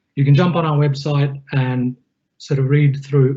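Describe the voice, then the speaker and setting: A man's fairly high, somewhat breathy voice with a dark, mellow tone, monotone, flat intonation and a moderate pace. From Australia. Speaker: IT technical consultant presenting a webinar. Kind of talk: webinar presentation. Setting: online webinar. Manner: casual, with frequent fillers.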